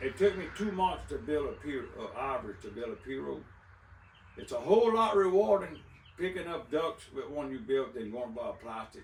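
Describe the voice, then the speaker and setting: Against noticeable background noise, a man with a south Louisiana accent speaks at a moderate pace in a high voice, swinging widely in pitch and heavily in loudness. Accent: south Louisiana Cajun English. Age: 60s. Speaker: duck call maker and waterfowl hunter. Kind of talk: casual interview.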